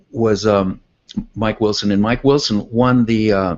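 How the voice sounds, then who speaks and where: A man with an American accent speaks in a normal speaking voice. His pitch is fairly low and his intonation fairly even. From California. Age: 60s. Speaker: artist and tennis coach. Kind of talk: interview.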